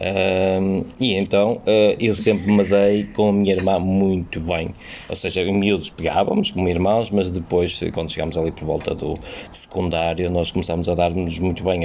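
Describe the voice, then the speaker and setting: Through noticeable background noise, a man with a European Portuguese accent speaks with a very deep, low pitch and monotone, flat intonation. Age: 40s. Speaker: teacher. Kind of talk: casual chat.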